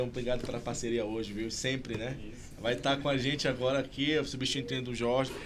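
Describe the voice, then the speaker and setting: A man at medium pitch, fairly quick with hardly any pauses and fairly even intonation, amid audible room echo and noticeable background noise. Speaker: podcast host. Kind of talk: interview. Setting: studio. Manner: stuttering.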